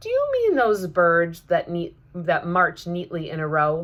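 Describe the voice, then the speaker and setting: A loud, put-on character voice, female-sounding and fairly low in pitch for a woman, at a fairly slow pace. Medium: read story. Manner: loud, hearty.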